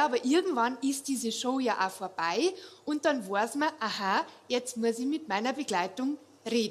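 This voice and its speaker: A woman with a Bavarian accent, high pitch, lively intonation and a moderate pace. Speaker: cabaret comedian. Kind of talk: stand-up. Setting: stage with audience.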